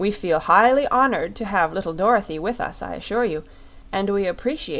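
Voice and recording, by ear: The speaker reads aloud in a natural voice. Intonation moves in a lively way.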